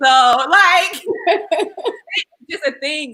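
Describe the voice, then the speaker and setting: Speaking at a fairly slow pace, a woman raises and projects her voice in a dry, close sound with no echo. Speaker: talk show host. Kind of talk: live panel discussion. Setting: livestream. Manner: loud.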